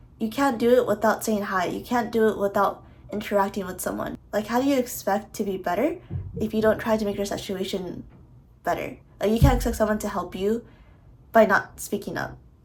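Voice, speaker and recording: A woman's medium-pitched voice with vocal fry, fairly quick and fairly even in intonation. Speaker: college student athlete. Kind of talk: casual talk to camera. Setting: construction noise in background.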